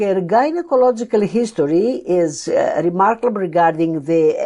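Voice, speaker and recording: With a Greek accent, the speaker uses a dark, mellow tone and lively intonation at a very slow pace. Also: woman. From Greece, Athens. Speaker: endocrinology professor. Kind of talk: lecture. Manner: halting.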